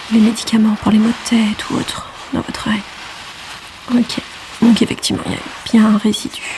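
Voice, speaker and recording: The voice is soft-spoken, with monotone, flat intonation. Noticeable background noise runs underneath. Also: woman, fairly high pitch for a woman, moderate pace. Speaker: ASMR creator playing an ENT doctor. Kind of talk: ASMR medical roleplay.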